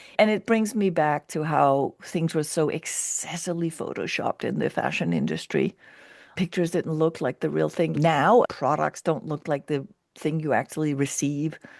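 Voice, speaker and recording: A woman's very deep, low voice with vocal fry at a moderate pace, dry and close with no echo, over a quiet background. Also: ordinary pitch variation. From Denmark. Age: 60s. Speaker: keynote speaker and culture strategist. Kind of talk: interview conversation. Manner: long run-on sentences.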